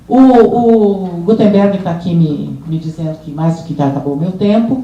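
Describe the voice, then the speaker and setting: A woman's voice at medium pitch, ordinary pitch variation, noticeable background noise and audible room echo. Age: 70s. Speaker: social work professor and prison system expert. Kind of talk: seminar panel talk. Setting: conference panel with audience. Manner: hesitant, with frequent fillers and repetitions.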